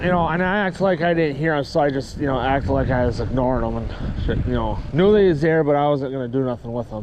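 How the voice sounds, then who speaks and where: A fairly high-pitched man, his pitch varying in an ordinary way, is heard with noticeable background noise. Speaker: cycling vlogger. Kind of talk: casual vlog monologue. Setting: outdoors by a parking lot. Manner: loud; rambling with fillers.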